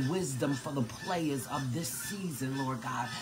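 There is noticeable background noise. Through it, a man talks at a fairly slow pace. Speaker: prayer leader. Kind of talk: fervent prayer. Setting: live online video stream. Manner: warm, affectionate. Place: kitchen. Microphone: phone near.

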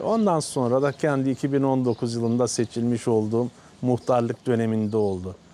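This man speaks at a fairly slow pace. His intonation stays fairly even. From Turkey, Karasu, Sakarya. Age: 50s. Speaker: village headman. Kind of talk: interview. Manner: halting.

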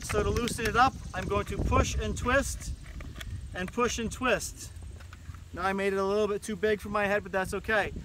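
A man speaks at a fairly quick pace in a dry sound with no echo, with noticeable background noise. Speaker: climbing instructor. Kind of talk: tutorial. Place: garden. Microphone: camera far.

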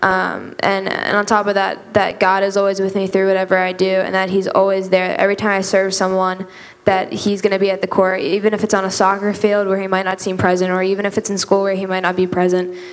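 Hardly pausing at all, a woman talks at a very fast pace. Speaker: church youth group member. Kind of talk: testimony. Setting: church. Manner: animated. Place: church. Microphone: handheld.

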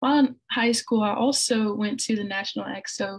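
Speaking at a moderate pace, a woman sounds somewhat breathy, with fairly even intonation and a quiet background. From Little Rock, Arkansas; Arkansas. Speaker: artist; presenter. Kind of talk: presentation. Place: home room. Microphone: video call.

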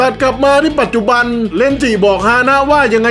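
Over music in the background, a man speaks at an extremely high pitch. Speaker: manga narrator, amateur dubber. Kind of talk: comedic manga recap narration.

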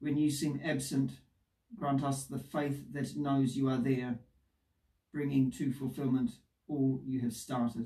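With a dark, mellow, somewhat breathy tone, a man speaks fairly slowly in monotone, flat intonation, leaving long, frequent pauses. The background is quiet, though audible room echo comes through. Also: medium pitch for a man. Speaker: priest leading worship. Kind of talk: liturgical prayer and scripture reading. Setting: church service recorded for video. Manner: formal, measured, solemn. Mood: calm, solemn. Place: home room.

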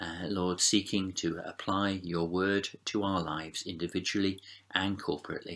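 Delivery is at a fairly slow pace with monotone, flat intonation. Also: man. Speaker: preacher leading prayer. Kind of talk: prayer. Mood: calm, reverent. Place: home room. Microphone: webcam.

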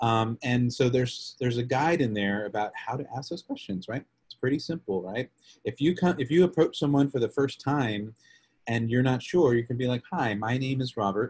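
A man with an American accent, somewhat breathy, at a moderate pace with ordinary pitch variation. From Texas, Lubbock; Texas. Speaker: policy advocate; presenter. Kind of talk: webinar presentation; training presentation. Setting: video call. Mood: friendly, earnest. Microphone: video call.

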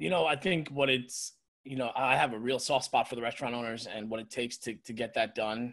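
Against a quiet background, a man with an American accent talks at a fairly quick pace. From New York area. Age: 40s. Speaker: restaurant owner and chef. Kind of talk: casual chat. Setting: video call. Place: home room. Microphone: video call.

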